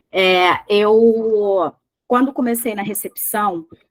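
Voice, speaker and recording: A woman's fairly high voice with an animated tone and lively intonation, in a dry, close sound with no echo. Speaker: trainer in medical billing. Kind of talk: online class lecture.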